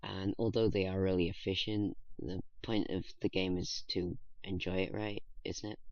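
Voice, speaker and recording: Quiet and very deep, a man's voice holds a monotone, flat intonation at a moderate pace. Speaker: gaming youtuber. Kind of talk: gameplay commentary. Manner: halting.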